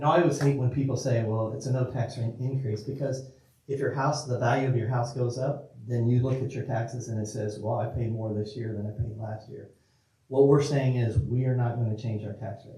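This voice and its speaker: A somewhat breathy voice with a dark, mellow tone speaks at a fairly quick pace with fairly even intonation, with audible room echo. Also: man, medium pitch for a man. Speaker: school district official presenting to city council. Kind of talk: public meeting presentation. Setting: city council meeting. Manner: fast; informal, repetitive with restarts.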